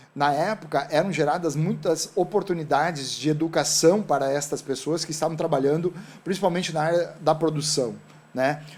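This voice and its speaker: At a moderate pace, a man speaks in a normal speaking voice, fairly high in pitch with fairly even intonation. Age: 60s. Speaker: entrepreneur. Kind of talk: talk show interview.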